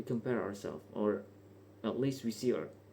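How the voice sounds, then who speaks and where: At a moderate pace, a man with a non-native accent speaks in a fairly low pitch with fairly even intonation. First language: not English. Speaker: vlogger. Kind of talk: casual unscripted monologue. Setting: bedroom at night. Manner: hesitant, casual.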